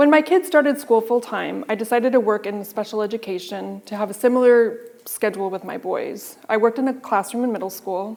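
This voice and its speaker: Over noticeable background noise, a woman talks at a fairly quick pace with hardly any pauses, her fairly high pitch showing ordinary variation. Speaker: motivational speaker. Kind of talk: personal story talk.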